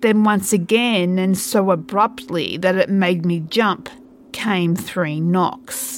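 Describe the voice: Reading aloud, plain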